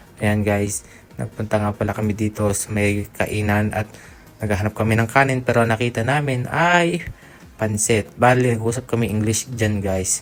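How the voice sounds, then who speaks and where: A man speaks at a moderate pace with a fairly low pitch and ordinary pitch variation. Music plays in the background. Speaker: vlogger. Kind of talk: travel vlog narration. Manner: casual.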